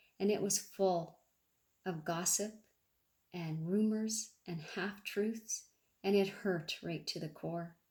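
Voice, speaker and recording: At a very slow pace with long, frequent pauses, a somewhat breathy woman of medium pitch speaks with fairly even intonation. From Canada. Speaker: amateur public speaker. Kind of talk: public speech to a club audience.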